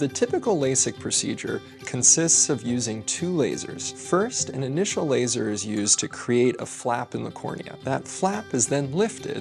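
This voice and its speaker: Moderate-paced speech with hardly any pauses and ordinary pitch variation, music playing in the background. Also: man, medium pitch for a man. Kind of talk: TV commercial voice-over.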